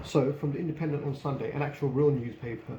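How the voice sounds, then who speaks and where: A man with a British accent speaks very fast at a fairly high pitch, his intonation fairly even, with audible room echo. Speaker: book reviewer. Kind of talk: casual book review.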